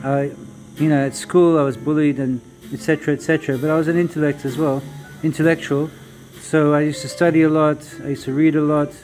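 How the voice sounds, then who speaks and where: Music in the background behind a man's fairly high-pitched, monotone voice, very fast in pace yet broken by long, frequent pauses. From South Africa, Cape Town. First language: Zulu. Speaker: vlogger and traveller. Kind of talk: casual monologue vlog. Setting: coffee shop.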